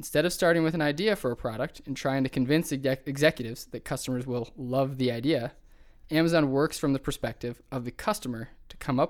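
On a very clean recording with a silent background, a man with a slight Buffalo accent talks very fast, his fairly high pitch showing ordinary variation. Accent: Western New York (Buffalo), slight. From Buffalo, New York. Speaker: podcast host. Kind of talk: casual chat.

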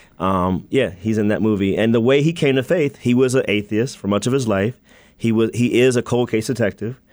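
Over a silent background in a very clean recording, a man with an American accent and a plain, everyday voice speaks at a fairly quick pace, with medium pitch, ordinary pitch variation and very even loudness. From US Mid-Atlantic (Maryland and Virginia). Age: young. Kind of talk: radio interview.

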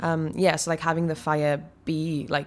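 With a South Wales accent, a woman talks in a very deep, low voice and a monotone, flat intonation, recorded very cleanly against a silent background. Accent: South Wales Welsh English. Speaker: actor. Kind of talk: interview.

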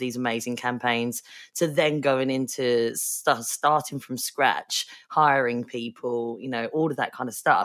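A woman with a very deep, low pitch talks at a moderate pace with ordinary pitch variation, recorded very cleanly over a silent background. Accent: Essex. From Essex, England. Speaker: podcast host. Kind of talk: interview.

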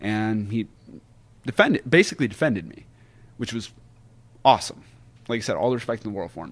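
A man with an American accent talks very fast at a medium pitch, with lively intonation, big swings in loudness, and long, frequent pauses. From West Virginia. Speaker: professional wrestler. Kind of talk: casual interview chat.

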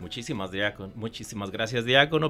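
A medium-pitched male voice over music in the background. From Michoacán, Mexico. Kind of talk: radio interview.

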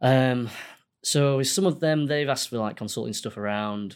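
Lively intonation at a moderate pace in a Yorkshire accent, on a very clean recording with a silent background. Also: man. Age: 30s. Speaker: accountant and business owner. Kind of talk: casual interview.

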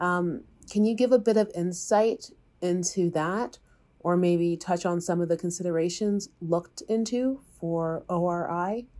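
A woman with a dark, mellow tone speaks fairly slowly at a fairly low pitch, using ordinary pitch variation. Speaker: podcast host. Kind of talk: podcast narration and interview.

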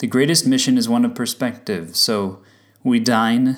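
At a fairly slow pace, a man talks in a plain, everyday voice of medium pitch with ordinary pitch variation. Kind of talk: spoken word poem, reflective reading. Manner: measured, contemplative.

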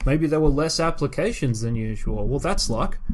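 In an Australian accent, a man speaks at a fairly quick pace with a fairly high pitch. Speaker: podcast co-host, scientist. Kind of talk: casual chat. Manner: animated.

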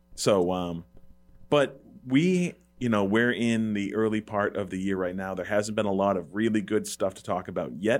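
An ordinary speaking voice from a man, fairly low in pitch with ordinary pitch variation, at a moderate pace in a very clean recording with a silent background. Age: 30s. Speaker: movie podcast host. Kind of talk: casual chat. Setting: studio.

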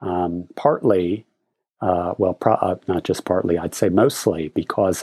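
A man's very deep, low voice with a dark, mellow tone, at a fairly slow pace, on a very clean recording with a silent background. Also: dry, close sound with no echo. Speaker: professor. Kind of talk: casual chat.

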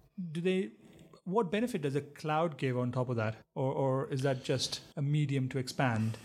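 A man speaks in a normal speaking voice at a fairly high pitch. His pace is moderate, with ordinary pitch variation. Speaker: podcast co-host. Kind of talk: casual chat.

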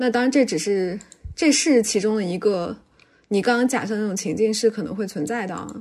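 A normal speaking voice from a woman, fairly high in pitch, at a fairly quick pace. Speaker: podcast co-host. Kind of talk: casual chat. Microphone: noticeable echo.

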